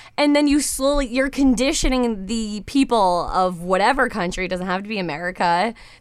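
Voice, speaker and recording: A woman at a fairly high pitch with lively intonation and a moderate pace, in a very clean recording with a silent background. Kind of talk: casual chat. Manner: loud.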